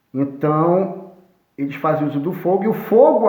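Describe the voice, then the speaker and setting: This man's intonation is lively. Some room echo can be heard. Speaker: history teacher. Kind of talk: lecture.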